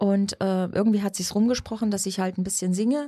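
The voice has a dark, mellow tone, somewhat breathy, with fairly even intonation. The recording is very clean and the background silent. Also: woman. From Saxony, Radebeul near Dresden. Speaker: schlager singer. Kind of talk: interview.

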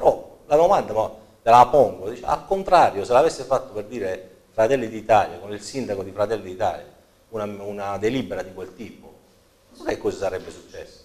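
The loudness swings widely as the speaker talks at a fairly quick pace. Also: man. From Apulia. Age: 40s. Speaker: local politician and accountant; guest. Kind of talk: political interview; interview answer. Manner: halting, many repetitions and fillers. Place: studio. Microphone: lapel.

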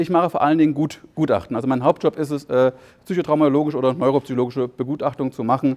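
A man with a fairly high pitch and ordinary pitch variation talks at a very fast pace, the sound dry and close with no echo. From East Germany. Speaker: psychotherapist. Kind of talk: conference talk. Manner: halting, with repetitions and fillers.

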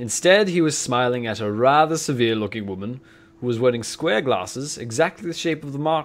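This is an unforced reading voice. It is delivered plainly.

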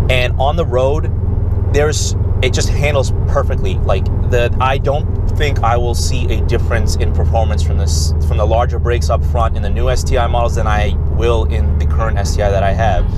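A man's moderate-paced speech has a dry sound with no echo, set against loud background noise. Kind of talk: casual vlog chat. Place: car. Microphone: camera far.

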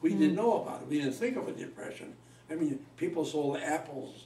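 A man with an American accent at a fairly quick pace, amid audible room echo and light background noise. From Cleveland, Ohio. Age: 90s. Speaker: elderly interviewee. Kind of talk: interview answer. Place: home room. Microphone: camera far.

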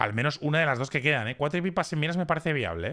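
A man talks in a bright, sharp tone. The recording is very clean, with a silent background. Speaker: esports commentator. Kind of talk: live esports commentary. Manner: animated, excitable.

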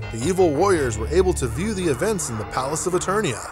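With music in the background, a man talks at a fairly quick pace, his pitch making very wide swings. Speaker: voice actor. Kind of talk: audiobook narration.

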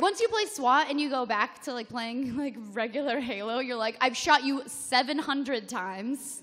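A woman's high-pitched, animated voice at a moderate pace, with hardly any pauses, ordinary pitch variation and big swings in loudness. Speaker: gaming web show panelist; panelist. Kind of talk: live convention panel chat. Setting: stage with audience. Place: hall. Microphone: podium.

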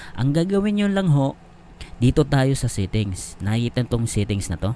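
Here a man talks at a moderate pace and a medium pitch. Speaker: YouTube tech tutorial creator. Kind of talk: tutorial. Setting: home, screen recording. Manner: casual, filler-heavy.

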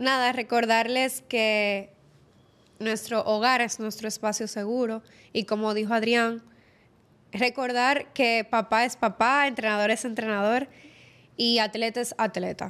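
The delivery is monotone, with flat intonation. Long, frequent pauses break it up. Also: woman, fairly slow pace. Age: 20s. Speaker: sports psychologist and former competitive swimmer; guest. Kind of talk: interview; interview answer. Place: studio. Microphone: studio mic.

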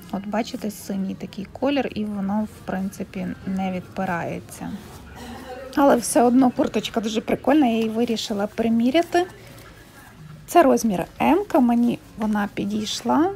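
Here is a woman with a normal speaking voice, fairly high in pitch. She talks at a moderate pace over light background noise. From Ukraine. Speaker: vlogger. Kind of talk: fitting-room shopping vlog. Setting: second-hand shop fitting room. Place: shop. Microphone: phone near.

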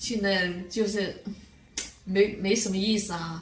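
With a Fuzhou accent, a woman speaks at a very slow pace amid audible room echo and light background noise. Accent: Fuzhou, Fujian. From grew up in Fuzhou, lives in Weihai. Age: 70s. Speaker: care home resident. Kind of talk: interview answer. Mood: calm, content. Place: home room.

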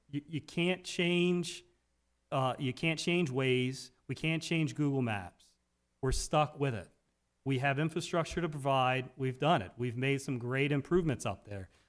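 An ordinary speaking voice in an American accent, fairly slow, with ordinary pitch variation, on a very clean recording with a silent background. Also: man, fairly high pitch for a man. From Talbot County, Maryland (Eastern Shore). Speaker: county council member. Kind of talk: council meeting remarks.

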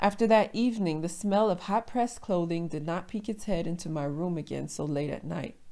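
An ordinary speaking voice with an American accent runs at a fairly quick pace with hardly any pauses and ordinary pitch variation. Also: woman, fairly low pitch for a woman. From USA. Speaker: storyteller. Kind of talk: personal story reading.

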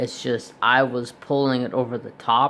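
The delivery is monotone, with flat intonation and a fairly slow pace, over light background noise. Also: man. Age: 40s. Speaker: craft youtuber. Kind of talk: tutorial with casual chat. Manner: rambling, run-on. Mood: relaxed, conversational. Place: home room. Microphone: phone near.

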